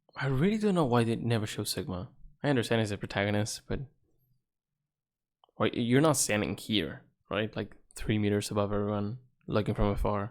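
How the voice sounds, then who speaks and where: A man with a non-native accent speaks at a fairly quick pace and fairly low pitch, with ordinary pitch variation. Long, frequent pauses break up his speech in a very clean recording with a silent background. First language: not English. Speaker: gaming streamer. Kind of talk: live game commentary.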